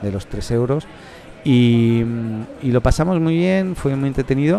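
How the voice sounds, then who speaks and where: The man's intonation is lively. Noticeable background noise can be heard too. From Catalonia, Spain (Reus, Tarragona). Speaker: podcast host. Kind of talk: casual chat. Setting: café.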